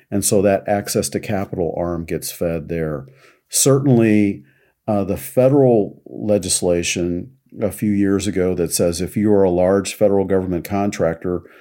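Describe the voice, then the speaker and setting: Over a very clean recording with a silent background, a man with an American accent speaks at a moderate pace, his very deep, low pitch and dark, mellow tone showing ordinary pitch variation. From US Midwest, Kansas City. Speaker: diversity consultant and army veteran. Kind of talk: interview. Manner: calm.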